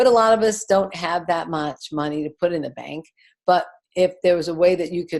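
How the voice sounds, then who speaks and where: A woman is speaking. The background is quiet. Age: 60s. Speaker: network marketing distributor. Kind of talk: business presentation.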